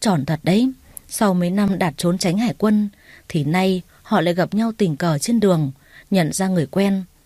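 With ordinary pitch variation, the speaker reads in a natural voice.

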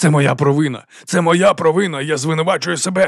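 A raspy put-on character voice moves at a fairly quick pace with fairly even intonation. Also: man. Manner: wailing, theatrically self-blaming.

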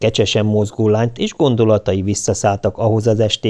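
What you hear is a natural reading voice.

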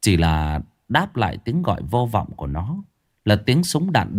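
A quiet background behind a passage read aloud in a natural voice

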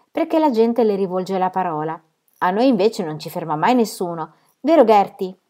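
The background stays quiet as plain reading aloud moves along with lively intonation.

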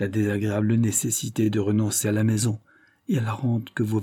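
Reading in a natural voice

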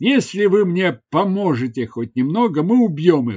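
In a put-on character voice, the speaker makes big pitch swings with a slightly mellow tone and a slightly husky edge. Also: man, high pitch for a man, moderate pace.

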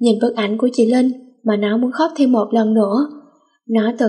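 Plain reading aloud, delivered with fairly even intonation over a quiet background.

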